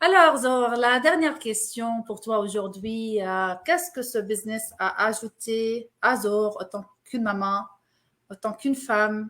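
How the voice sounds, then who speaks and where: Speaking at a fairly slow pace with an Arabic accent, a woman uses a fairly high pitch with ordinary variation on a very clean recording with a silent background. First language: Arabic (speaking French). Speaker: interviewer. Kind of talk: interview. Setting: live stream.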